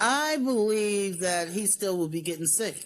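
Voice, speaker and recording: A woman with an American accent talks at a moderate pace, her pitch swinging very widely, on a very clean recording with a silent background. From New York, Long Island. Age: 60s. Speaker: former program beneficiary, grandmother. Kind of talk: interview.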